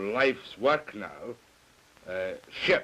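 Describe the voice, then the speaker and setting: A man with a Scottish accent speaks at a very slow pace. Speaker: TV host. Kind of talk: TV interview. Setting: TV studio.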